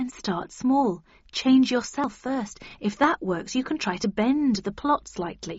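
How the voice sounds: A woman speaks slowly in a put-on character voice. Her pitch sits fairly high, with a slightly husky edge. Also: lively intonation.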